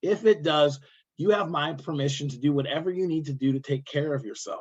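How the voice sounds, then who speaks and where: A man with an Iowa accent, fairly high in pitch, at a moderate pace with ordinary pitch variation. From Iowa, US Midwest. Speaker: workshop trainer. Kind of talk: online training workshop.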